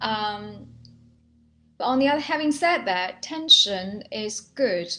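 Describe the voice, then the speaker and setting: Speaking very slowly with a Chinese accent, a woman uses lively intonation. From China. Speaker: healer and Alexander Technique teacher. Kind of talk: guided training session.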